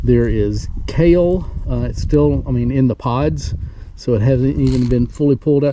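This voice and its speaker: A man with a Southern US accent talks at a moderate pace, his medium pitch showing ordinary variation. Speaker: homesteader. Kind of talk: casual vlog narration. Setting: outdoors.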